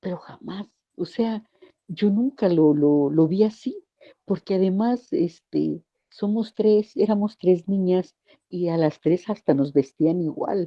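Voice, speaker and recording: The woman talks very slowly. Her voice sits at a medium pitch. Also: ordinary pitch variation. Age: 60s. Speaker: group participant. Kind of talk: personal testimony. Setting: group call.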